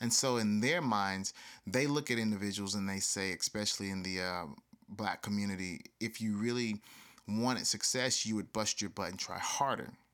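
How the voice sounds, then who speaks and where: In an ordinary speaking voice with an American accent, a man talks at a moderate pace with fairly low pitch and ordinary pitch variation, recorded very cleanly against a silent background. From US South. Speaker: podcast host. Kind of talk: solo podcast monologue.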